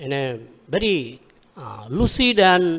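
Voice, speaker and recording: A man with a Bengali accent. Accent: Indian English, Bengali. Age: 60s. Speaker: religious speaker. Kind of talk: religious lecture.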